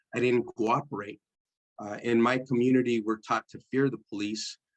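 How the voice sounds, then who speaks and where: This is a man with a Spanish accent. His pitch varies in an ordinary way. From East San Jose, California. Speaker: formerly incarcerated speaker. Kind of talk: testimony. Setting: church service.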